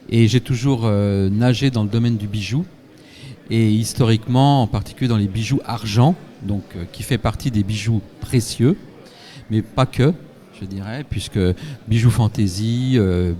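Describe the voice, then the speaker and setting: Fairly slow speech from a man at a medium pitch, with ordinary pitch variation and long, frequent pauses. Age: 60s. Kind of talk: live event interview.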